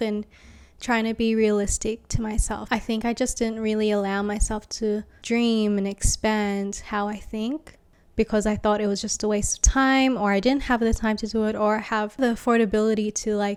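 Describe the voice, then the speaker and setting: Speaking in an Australian accent, a woman with a fairly high pitch talks at a moderate pace in a flat monotone, on a very clean recording with a silent background. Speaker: graphic designer and vlogger. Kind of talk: casual vlog monologue. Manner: hesitant, many fillers; voice may shake.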